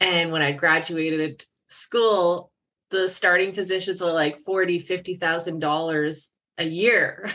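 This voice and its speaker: The voice has a bright, sharp tone and fairly even intonation. The pace is fairly slow. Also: woman, fairly low pitch for a woman. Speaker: business strategist and co-founder. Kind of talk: podcast interview. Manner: loud.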